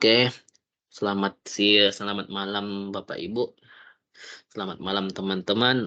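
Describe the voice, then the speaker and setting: With long, frequent pauses at a fairly slow pace, a man talks in a bright, sharp tone and monotone, flat intonation. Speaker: stock market educator. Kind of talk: tutorial. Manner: halting.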